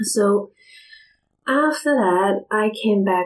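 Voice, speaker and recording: A woman speaks in a normal speaking voice at a medium pitch, her intonation lively. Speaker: shamanic guide and painter. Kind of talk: casual interview chat.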